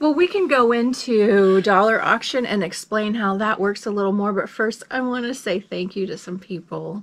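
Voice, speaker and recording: Speaking at a moderate pace with ordinary pitch variation, the voice has an American accent and hardly any pauses. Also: woman. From US Midwest (Lincoln, Nebraska); Nebraska. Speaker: reseller, video channel co-host. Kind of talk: casual chat. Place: home room. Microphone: phone near.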